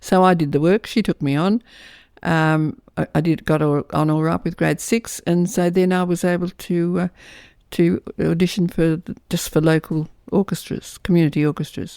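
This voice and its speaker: In an Australian accent, a woman with a fairly low voice speaks at a moderate pace with fairly even intonation, the sound dry and close with no echo. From Australia, Lithgow New South Wales. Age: 80s+. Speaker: author. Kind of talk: interview. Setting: at home. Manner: halting.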